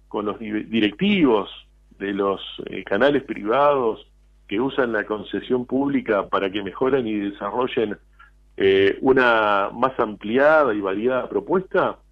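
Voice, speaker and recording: Speaking at a fairly slow pace, a man talks. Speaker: poet and writer. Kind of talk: radio interview. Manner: halting, repeats words.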